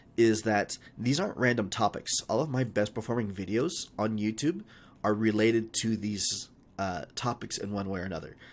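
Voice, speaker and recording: A man uses a put-on character voice, raspy and medium in pitch, with ordinary pitch variation at a moderate pace. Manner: talking fast.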